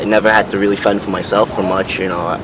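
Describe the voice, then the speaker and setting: Someone with a New York accent speaks over noticeable background noise. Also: man. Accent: New York City. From New York City, Brooklyn. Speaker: interviewee. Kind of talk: interview. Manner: halting.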